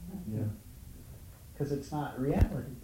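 A man's voice carries audible room echo. His pitch varies in an ordinary way. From Hawaii, Honolulu. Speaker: spiritual teacher. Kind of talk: dharma talk to small group.

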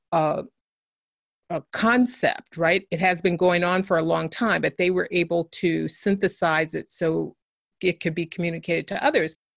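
A woman speaks at a moderate pace with a fairly low pitch and an unremarkable speaking voice. The background is quiet, and the sound is dry and close with no echo. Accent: American. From US West Coast (San Francisco). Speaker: education author and consultant. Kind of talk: interview.

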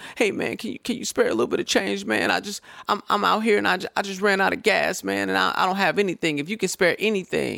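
In a very clean recording with a silent background, a man does a whiny, put-on character voice at a high pitch, keeping a moderate pace with hardly any pauses. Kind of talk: casual, pleading.

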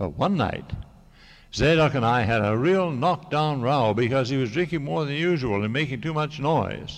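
A normal speaking voice carries lively intonation at a moderate pace. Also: man, fairly high pitch for a man. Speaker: novelist. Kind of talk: reading aloud. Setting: stage with audience.

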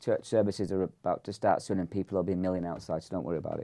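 This man has a fairly low pitch. His tone is dark and mellow. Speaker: podcast host and church pastor. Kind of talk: casual chat interview. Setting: in-person, studio with cameras.

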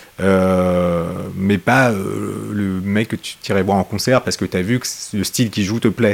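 An unremarkable speaking voice with fairly even intonation, at a fairly slow pace. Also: man, fairly low pitch for a man. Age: 40s. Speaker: guitarist. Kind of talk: casual chat.

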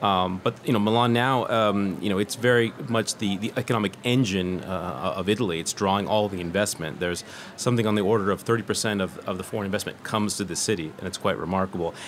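A man with a Californian accent talks at a very fast pace with hardly any pauses and ordinary pitch variation over noticeable background noise. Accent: Californian American. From California, US. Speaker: journalist. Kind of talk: casual chat. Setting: pop-up radio studio at a design fair.

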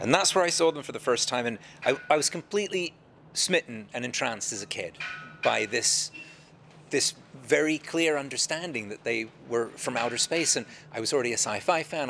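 With lively intonation, a man talks at a fairly quick pace over noticeable background noise. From London, England. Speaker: meteorite hunter. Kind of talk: interview. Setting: live event venue.

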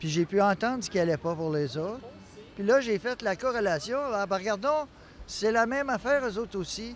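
Here a man speaks with a high pitch at a moderate pace. His intonation is lively. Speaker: mental health service user. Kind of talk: interview.

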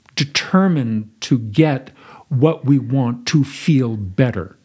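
A man speaks at a very slow pace. His voice has a medium pitch and a dark, mellow tone. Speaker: acting teacher. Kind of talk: interview conversation.

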